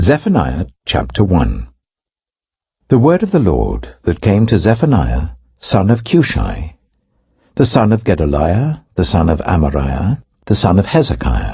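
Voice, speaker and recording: A man speaks at a fairly slow pace in a very deep, low voice with warm tone, vocal fry and very wide pitch swings. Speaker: actor. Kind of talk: audio Bible reading. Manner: reverent, clear, warm.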